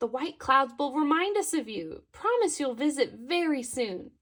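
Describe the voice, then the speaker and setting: Soft-spoken and high-pitched, a woman uses a put-on character voice at a moderate pace. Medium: read story. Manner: soft, dreamy.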